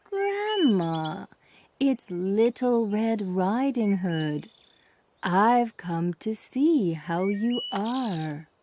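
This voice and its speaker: A female-sounding voice in a put-on character voice speaks very slowly at a medium pitch for a woman. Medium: read story. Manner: sly, scheming.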